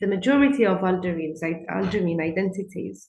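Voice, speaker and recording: This woman speaks with an Arabic accent. Her intonation is lively. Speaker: conference speaker. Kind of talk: lecture. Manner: halting.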